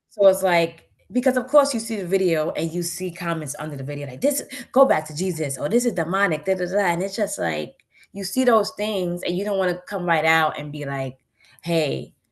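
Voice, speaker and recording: A woman with a fairly low pitch talks at a fairly quick pace in an animated tone. Her intonation is lively, and her loudness swings widely. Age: 30s. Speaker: guest on spiritual talk show. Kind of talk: interview conversation.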